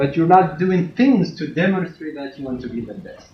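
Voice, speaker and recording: A man with a non-native accent, high-pitched, lively in intonation and fairly quick, with audible room echo. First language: not English. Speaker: university lecturer. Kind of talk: classroom lecture. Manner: stern.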